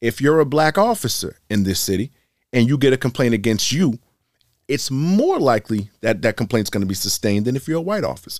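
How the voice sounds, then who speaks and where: A normal speaking voice from a man, medium in pitch, at a fairly quick pace with lively intonation, on a very clean recording with a silent background and a dry, close sound with no echo. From Boston. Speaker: police lieutenant and army veteran. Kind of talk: casual interview chat.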